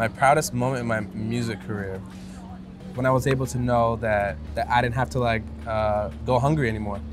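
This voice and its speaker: Over music in the background and audible room echo, a man with a medium pitch talks at a fairly quick pace with ordinary pitch variation. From New York (Bronx) and Newark, New Jersey. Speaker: musician. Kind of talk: casual chat. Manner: casual, hesitant with fillers.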